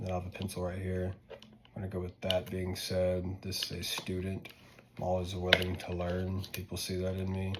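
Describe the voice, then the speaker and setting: This man has a very deep, low pitch and an American accent, talking at a fairly quick pace with monotone, flat intonation. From US South, North Louisiana. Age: 20s. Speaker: student. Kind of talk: casual class presentation video. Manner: informal, filler-heavy.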